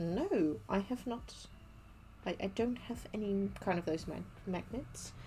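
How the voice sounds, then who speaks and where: Vocal fry runs through a woman's dark, mellow tone as she speaks at a fairly slow pace. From Netherlands. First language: Dutch. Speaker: cosplay maker streamer. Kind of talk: casual livestream chat while crafting. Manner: hesitant, many fillers and restarts.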